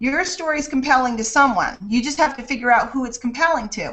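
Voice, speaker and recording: Lively intonation from a woman with a high pitch. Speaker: online marketing coach. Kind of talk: webinar interview.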